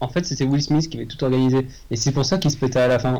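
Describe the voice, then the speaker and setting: The tone is dark and mellow, somewhat breathy, with ordinary pitch variation. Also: man. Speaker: podcast co-host, guesses film plots. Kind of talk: casual chat, improvised comedy.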